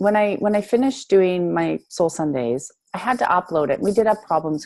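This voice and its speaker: Lively intonation marks this woman's speech. Her pitch is medium. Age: 40s. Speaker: spiritual coach. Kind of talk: coaching conversation. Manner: fast.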